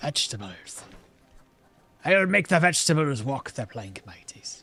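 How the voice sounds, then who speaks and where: Using a put-on character voice, a man speaks at a moderate pace with a fairly high pitch for a man. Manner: playful, swashbuckling.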